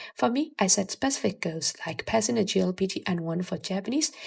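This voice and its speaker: A woman with a Burmese accent talks at a fairly quick pace in a somewhat breathy voice. Her pitch swings very widely. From Myanmar. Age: 20s. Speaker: language learning youtuber. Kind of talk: video tutorial.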